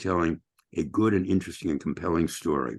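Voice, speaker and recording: Against a quiet background, a man talks in a very deep, low voice. Vocal fry runs through his speech. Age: 70s. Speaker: journalist and columnist. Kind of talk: online training talk. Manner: halting, many fillers.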